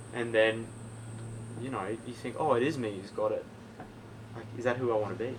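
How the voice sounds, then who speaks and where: A man with an Australian accent talks at a fairly quick pace with long, frequent pauses, medium pitch, fairly even intonation and big swings in loudness, amid audible room echo. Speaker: podcast guest. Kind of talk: casual chat.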